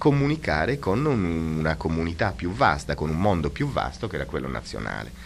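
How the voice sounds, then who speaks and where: The voice swings very widely in pitch and carries vocal fry. Light background noise sits behind it. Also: man. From Sardinia. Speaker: art history professor. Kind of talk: radio interview. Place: studio. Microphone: old recording.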